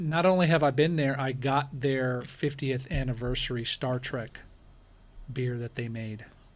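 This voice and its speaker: At a fairly slow pace, a man talks in an unremarkable speaking voice at medium pitch with ordinary pitch variation. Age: 40s. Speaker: rideshare driver and YouTuber. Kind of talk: casual interview chat.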